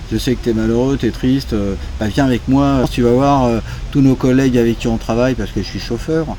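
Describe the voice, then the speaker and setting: Amid noticeable background noise, a man talks at a fairly quick pace and medium pitch with ordinary pitch variation. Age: 60s. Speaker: chauffeur interviewed about moving to Thailand. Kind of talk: casual interview. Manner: hesitant, many fillers.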